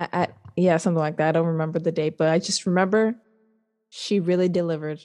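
A woman with an American accent speaks at a very fast pace, her pitch fairly low and her tone dark and mellow. Her loudness stays very even throughout. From Southern California. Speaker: podcast co-host. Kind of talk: casual chat. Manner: animated.

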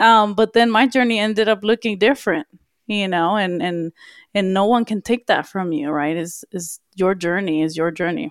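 A woman with a medium pitch and an upbeat tone talks at a moderate pace with ordinary pitch variation in a very clean recording with a silent background. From Los Angeles (Watts). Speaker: podcast co-host. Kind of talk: casual chat. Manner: laughs often, upbeat.

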